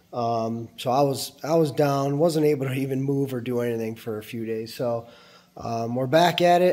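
A man talks at a moderate pace with a dark, mellow tone. His pitch varies in an ordinary way. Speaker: boiler builder and YouTuber. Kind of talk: tutorial. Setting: workshop. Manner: casual with frequent fillers. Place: workshop. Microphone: phone near.

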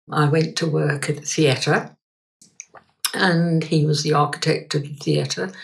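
Her voice is very deep and low in pitch, somewhat breathy, and this woman speaks at a fairly slow pace. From London, England. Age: 80s+. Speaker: reflexologist and energy healer. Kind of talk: interview answer.

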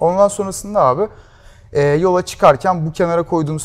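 This is a man's voice. He talks at a fairly quick pace. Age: 20s. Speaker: startup founder; guest. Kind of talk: interview. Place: studio. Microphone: lapel.

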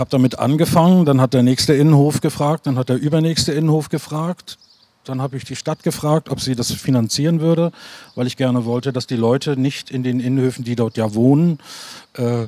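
A man's dark, mellow tone at a fairly quick pace, with ordinary pitch variation and a dry sound with no echo. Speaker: actor and theatre director. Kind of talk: panel discussion. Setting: stage with audience. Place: stage.

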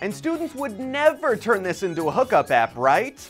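A man's fairly quick speech with faint music in the background. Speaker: news presenter. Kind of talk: news report. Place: office. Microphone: lapel.

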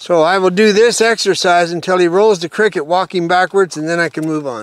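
The sound is dry with no echo as a man speaks at a high pitch with ordinary pitch variation. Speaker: horse trainer. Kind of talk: tutorial. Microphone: lapel.

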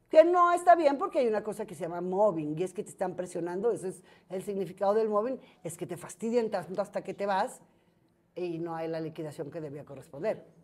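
A woman talks at a fairly quick pace, with ordinary pitch variation and big swings in loudness. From Mexico, Guadalajara; Jalisco, Mexico. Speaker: entertainment journalist. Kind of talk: casual interview chat. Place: cafe. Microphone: lapel.

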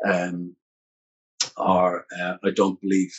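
A man with an Irish accent against a quiet background. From Ireland. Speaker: musician and author; interview guest. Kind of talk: interview. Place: home room.

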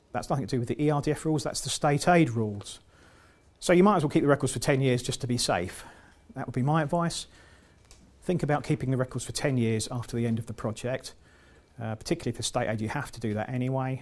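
Talking very fast with an English accent, a man uses a medium pitch with ordinary pitch variation. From England. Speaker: EU funding consultant and trainer; presenter. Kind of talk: lecture. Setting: seminar room with live audience. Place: meeting room.

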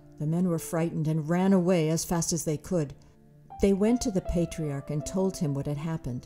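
Faint music plays in the background as a woman speaks at a fairly low pitch with ordinary pitch variation. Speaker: storyteller, audiobook narrator. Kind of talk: children's storybook narration. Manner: enthusiastic, expressive. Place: studio.

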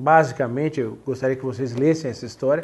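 A man's dark, mellow, somewhat breathy voice at a moderate pace, with ordinary pitch variation. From Brazil, São Paulo. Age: 40s. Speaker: sports journalist and author; sports journalist. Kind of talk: interview monologue about his book. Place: home room. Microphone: lapel.

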